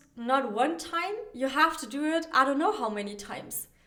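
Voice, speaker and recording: A woman with a non-native accent speaks at a high pitch in a bright, sharp tone. Her voice is raised and projected, at a moderate pace. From not America. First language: not English. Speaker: dating coach podcaster. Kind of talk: solo podcast monologue. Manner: casual, with many fillers and restarts.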